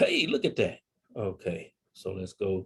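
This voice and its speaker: A man with a Tennessee accent, at a very slow pace. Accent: Tennessee Southern. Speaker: psychologist and family therapist, Marine veteran. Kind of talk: webinar presentation. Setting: video call.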